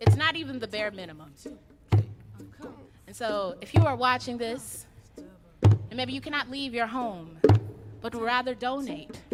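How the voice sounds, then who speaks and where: A woman with an American accent and a fairly high pitch, animated in tone, with lively intonation, big swings in loudness and long, frequent pauses, over music in the background. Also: moderate pace. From US South. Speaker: spoken word poet. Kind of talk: spoken word performance. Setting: online concert stream.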